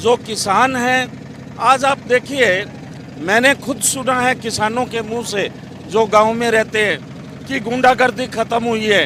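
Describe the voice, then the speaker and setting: Over noticeable background noise, a man uses a raised, projected voice at an extremely high pitch with fairly even intonation. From Haryana, India. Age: 60s. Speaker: tourist interviewee. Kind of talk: street interview.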